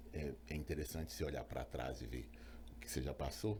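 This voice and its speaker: A man speaks with vocal fry and a dark, mellow tone. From Brazil, Belo Horizonte (Minas Gerais). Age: 50s. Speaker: physician, obstetrician. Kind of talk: interview, personal story. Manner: hesitant, many fillers.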